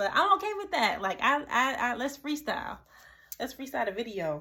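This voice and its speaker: Her voice raised and projected, a woman with a high pitch and a bright, sharp tone speaks at a fairly quick pace with very wide pitch swings. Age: 30s. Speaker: YouTube vlogger. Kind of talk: casual monologue vlog. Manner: stuttering, repeats words; rambling, off the cuff.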